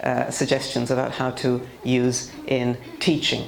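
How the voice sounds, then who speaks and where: In a British accent, a woman speaks with a very deep, low pitch amid audible room echo and noticeable background noise. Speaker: teacher trainer. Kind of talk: seminar lecture.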